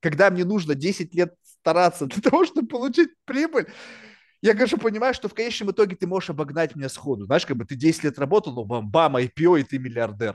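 In a dry, close recording with no echo and a quiet background, a man speaks at a high pitch and a fairly quick pace with very wide pitch swings. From Russia, then New York. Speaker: podcast host, businessman. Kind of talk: casual interview chat. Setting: video call. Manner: casual, talkative, profane.

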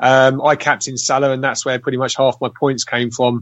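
A man with an English accent speaks at medium pitch. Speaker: fantasy football player. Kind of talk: casual chat.

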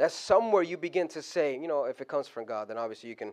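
Speaking at a very fast pace, the voice has lively intonation and an animated tone. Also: man. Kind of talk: sermon. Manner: animated, conversational, call-and-response with the congregation; halting with fillers, then building to fervent exhortation.

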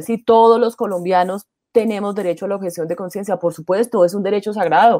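In a dark, mellow tone, a woman speaks at a medium pitch with fairly even intonation, her dry, close sound with no echo captured on a very clean recording with a silent background. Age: 50s. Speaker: LGBT rights NGO director. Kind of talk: interview.

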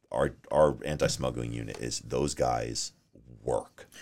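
A man with a slight New York accent speaks at a very slow pace, his voice full of vocal fry. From New York, Long Island. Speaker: sheriff's deputy. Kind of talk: casual interview.

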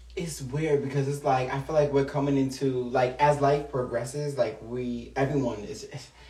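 A man with a fairly high pitch speaks at a moderate pace in a monotone, flat delivery with hardly any pauses, over noticeable background noise. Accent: American. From Long Island, New York. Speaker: guest. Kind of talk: casual interview chat.

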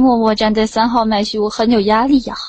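A woman's fairly high, monotone voice with flat intonation. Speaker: voice chat room hostess. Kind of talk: casual chat.

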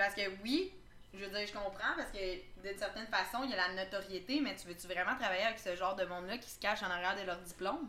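With a Quebec accent, a woman talks at a very fast pace in a medium pitch with ordinary pitch variation. Her tone is bright and sharp, and her loudness swings widely. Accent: Québécois French. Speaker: podcast host. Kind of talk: casual chat. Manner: animated.

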